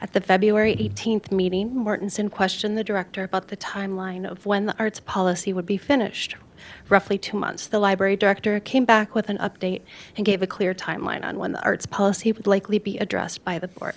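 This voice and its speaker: A woman with an American accent speaks at a very fast pace. Her medium-pitched voice has a monotone, flat intonation. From Minnesota. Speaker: public commenter. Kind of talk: public comment speech. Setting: city council meeting.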